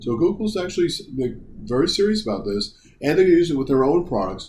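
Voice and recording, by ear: Big pitch swings and a slightly mellow tone come through at a fast pace, with audible room echo. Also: man, fairly high pitch for a man.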